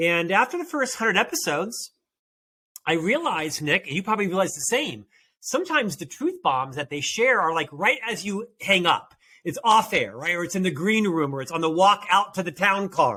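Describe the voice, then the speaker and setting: A man's high-pitched, bright and sharp voice, raised and projected, at a fairly quick pace, on a very clean recording with a silent background. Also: lively intonation. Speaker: podcast host and author. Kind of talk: interview.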